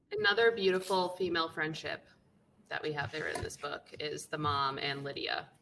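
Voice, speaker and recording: Using a plain, everyday voice, a woman with an American accent speaks at a moderate pace with fairly low pitch and ordinary pitch variation. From Boston. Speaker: podcast co-host. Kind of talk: casual chat. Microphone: too far from the mic.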